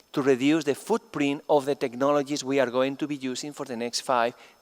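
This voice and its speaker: Speaking with a Spanish accent, a man keeps a moderate pace at a fairly high pitch. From Spain. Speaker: chemistry professor. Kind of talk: plenary lecture.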